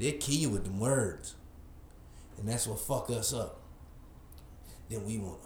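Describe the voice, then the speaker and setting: With an American accent, a man speaks in an animated tone at a fairly slow pace and medium pitch, using ordinary pitch variation and long, frequent pauses, and audible room echo is present. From Kansas City area, Kansas side. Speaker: podcast co-host. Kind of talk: casual chat.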